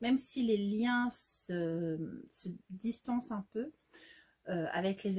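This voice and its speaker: This woman's voice has a dark, mellow tone and is somewhat breathy. Her pitch swings very widely. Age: 40s. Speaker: sewing youtuber. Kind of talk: casual vlog. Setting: home sewing workshop.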